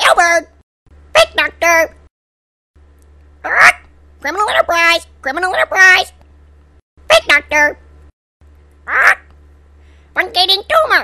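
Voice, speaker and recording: A put-on character voice at an extremely high pitch, fairly slow, with long, frequent pauses. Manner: squawking, repetitive shouting.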